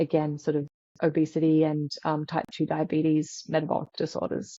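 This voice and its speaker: With an Australian accent, a woman speaks in a very deep, low voice at a moderate pace, her intonation monotone and flat and her loudness very even. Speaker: sleep scientist. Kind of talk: interview.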